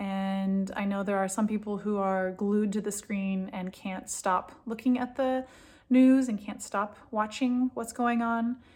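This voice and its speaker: An American-accented woman speaks at a fairly slow pace with a fairly high pitch. Her voice is somewhat breathy and her intonation fairly even. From California. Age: 40s. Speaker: food and mood coach. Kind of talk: solo talk to camera with guided exercise. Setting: home office in a bomb shelter.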